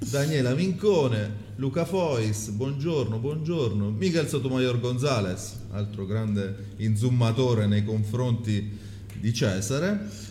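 A man's medium-pitched voice at a very slow pace, with ordinary pitch variation and noticeable background noise. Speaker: live-stream co-host. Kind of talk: casual live chat on food.

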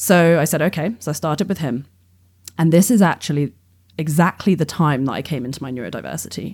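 A woman with an English accent talks at a very fast pace in a very deep, low pitch with ordinary pitch variation. Her loudness swings widely on a very clean recording with a silent background. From England. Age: 30s. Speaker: astrophysics PhD student. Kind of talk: casual interview chat.

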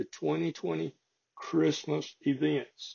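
A man with a strong Southern US accent talks at a very slow pace. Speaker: local farming podcast host. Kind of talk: casual chat; reading aloud. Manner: folksy, conversational.

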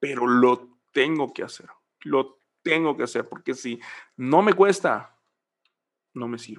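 Fairly slow delivery from a man with a medium-pitched voice. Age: 20s. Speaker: church musician and ministry trainer. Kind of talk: casual interview.

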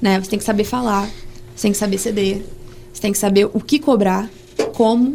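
Against noticeable background noise, a woman with a fairly high voice talks very fast with fairly even intonation. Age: 20s. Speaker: medical student, student association president. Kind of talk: casual interview.

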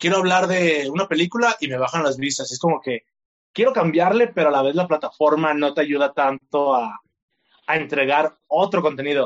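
A man with a plain, everyday voice talks at a moderate pace with lively intonation. His pitch is fairly high. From Mexico, Tlaquepaque, Jalisco. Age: 20s. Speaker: content creator. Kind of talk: interview.

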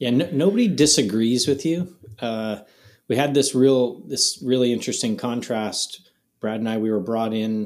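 Speaking at a moderate pace, a man with a Canadian accent has a plain, everyday voice. His medium pitch shows ordinary pitch variation. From Canada, Ottawa area. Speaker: golf glove company co-founder. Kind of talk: casual chat.

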